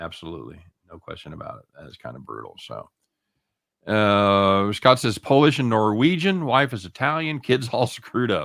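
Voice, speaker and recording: A man's normal speaking voice at a medium pitch, with lively intonation and big swings in loudness. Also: moderate pace. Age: 60s. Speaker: sports betting show host. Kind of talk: casual chat.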